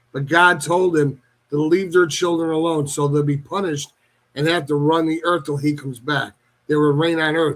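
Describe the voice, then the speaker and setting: The man's voice is fairly high in pitch and monotone, with flat intonation. He keeps a moderate pace. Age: 60s. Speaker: paranormal enthusiast. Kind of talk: radio talk show discussion. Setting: radio show.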